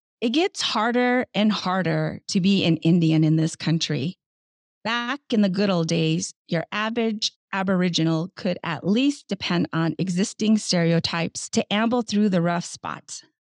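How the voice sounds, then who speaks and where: A plain, everyday voice from a woman at medium pitch, moderate pace and ordinary pitch variation, with a dry, close sound and no echo. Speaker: podcast host. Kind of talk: interview. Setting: video call.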